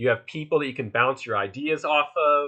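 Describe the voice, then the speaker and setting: A man with a fairly high pitch speaks in a bright, sharp tone against a quiet background. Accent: Philadelphia. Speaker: workshop instructor, art collective organizer. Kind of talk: online workshop lecture. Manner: casual, many filler words.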